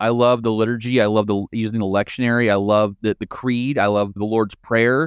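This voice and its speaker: Talking at a fairly quick pace with hardly any pauses, a man with a Midwestern American accent keeps a medium pitch and monotone, flat intonation, in a dry, close sound with no echo. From rural Midwest, Marion County, central Illinois. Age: 40s. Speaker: political science professor and former pastor. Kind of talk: interview conversation.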